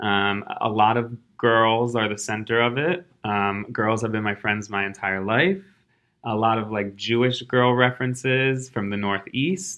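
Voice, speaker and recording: An American accent at a fairly slow pace, with ordinary pitch variation. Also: man, medium pitch for a man. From suburban Philadelphia. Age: 20s. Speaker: illustrator and tech worker. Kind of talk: casual interview. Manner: animated.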